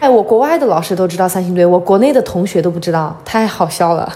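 Very fast and with ordinary pitch variation, a woman talks over noticeable background noise. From Sichuan, China (Liangshan / Guanghan). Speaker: archaeology worker and farm-aid volunteer. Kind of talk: interview conversation. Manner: lively, frank.

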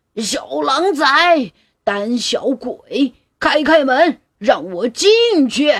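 A put-on character voice that sounds female talks very slowly, high-pitched yet gruff. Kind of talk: loud shout. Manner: loud, demanding.

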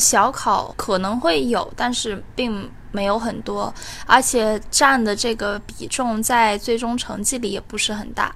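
Her pitch fairly high and its variation ordinary, a woman talks in a normal speaking voice. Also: fairly slow pace. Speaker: community college student. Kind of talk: personal testimony.

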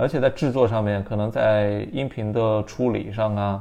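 A man with an ordinary speaking voice talks at a moderate pace and a fairly low pitch, keeping his intonation fairly even. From Anhui, southern China. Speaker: podcast host. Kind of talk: casual interview chat.

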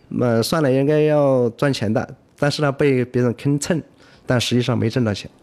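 Against a quiet background, a man with a normal speaking voice and medium pitch talks at a moderate pace with fairly even intonation. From Yibin, Sichuan, China. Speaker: food business founder. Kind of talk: radio interview.

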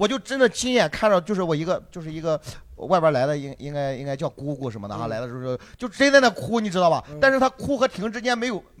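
A man talks very fast in a high voice. His pitch swings very widely and his loudness rises and falls sharply. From Shandong, China. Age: 30s. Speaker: stand-up comedian. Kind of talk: casual chat.

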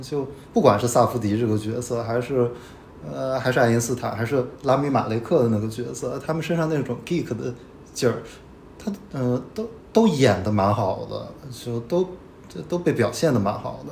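Here a man talks at a moderate pace and medium pitch, with lively intonation. He leaves long, frequent pauses. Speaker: film critic guest. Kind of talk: casual film discussion.

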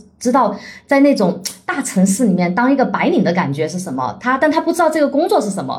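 A woman talks at a fairly quick pace with very wide swings in pitch. She has a slight Chongqing accent. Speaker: author and nonprofit founder. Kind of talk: casual interview.

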